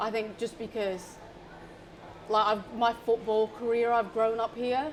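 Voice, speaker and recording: A woman with a British accent. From northern England, Barnsley. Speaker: professional footballer. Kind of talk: casual interview.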